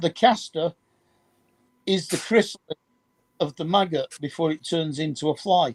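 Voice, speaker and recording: With a Manchester accent, a man speaks at a high pitch and a moderate pace, leaving long, frequent pauses, with ordinary pitch variation and a dry, close sound with no echo. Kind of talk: casual chat.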